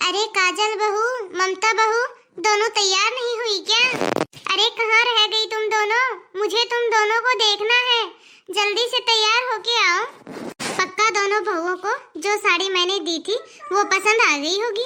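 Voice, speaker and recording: A woman talks in a cartoonish character voice at an extremely high pitch. Her pace is fairly slow and her intonation fairly even. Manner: warm, affectionate.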